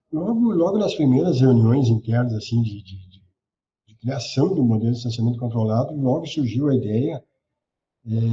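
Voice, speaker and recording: A man's somewhat breathy voice at medium pitch, with big swings in loudness. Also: ordinary pitch variation, moderate pace. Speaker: government communications adviser. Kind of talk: interview answer. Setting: remote call.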